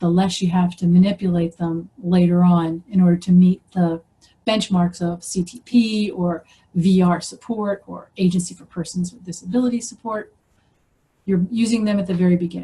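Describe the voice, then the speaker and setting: A somewhat breathy woman's voice with an American accent, medium in pitch, dark and mellow in tone, with fairly even intonation and big swings in loudness. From US Northeast, Philadelphia. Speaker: professor. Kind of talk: presentation lecture. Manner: fast.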